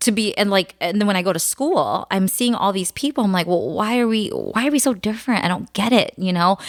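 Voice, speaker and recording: A woman in a plain, everyday voice at a medium pitch, fairly quick pace with hardly any pauses, very even loudness and ordinary pitch variation. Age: middle-aged. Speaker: podcast co-host. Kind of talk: casual chat.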